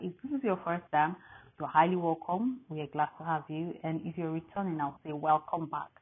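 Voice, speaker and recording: Her voice carries an African accent, fairly low in pitch with ordinary pitch variation. This woman speaks at a moderate pace. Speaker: Bible reading host. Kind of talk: welcome and prayer to viewers.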